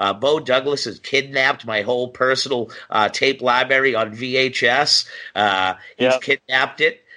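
An American accent carries a bright, sharp tone at a fairly slow pace. The pitch varies in an ordinary way over a quiet background. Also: man. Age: 40s. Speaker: professional wrestler. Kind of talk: casual chat.

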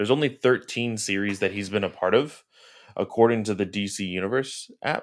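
Recorded very cleanly against a silent background, a man with an American accent speaks at a fairly low pitch with ordinary pitch variation. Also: fairly quick pace. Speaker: comic book podcast co-host. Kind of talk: casual chat.

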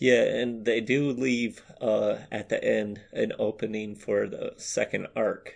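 With an American accent, a man talks at a very slow pace with hardly any pauses. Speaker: podcast co-host. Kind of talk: casual banter chat.

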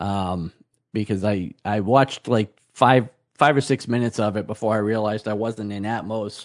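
A man with a plain, everyday voice speaks at a moderate pace, his pitch fairly low and his intonation fairly even. The sound is dry and close with no echo, over a quiet background. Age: 50s. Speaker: podcast co-host, store owner. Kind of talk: casual chat.

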